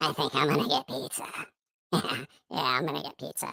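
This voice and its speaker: A raspy put-on character voice, low-to-middle in pitch, at a fairly quick pace. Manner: creepy.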